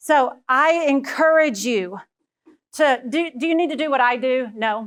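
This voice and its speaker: On a very clean recording with a silent background, a woman speaks in a Texan accent with an animated tone. Her pitch is high, with ordinary variation. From Texas. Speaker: education leadership speaker. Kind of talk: keynote talk.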